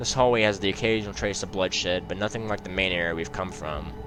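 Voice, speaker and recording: Over music in the background, a man speaks at a very fast pace with a very deep, low pitch and ordinary pitch variation. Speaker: gaming youtuber. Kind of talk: reading aloud.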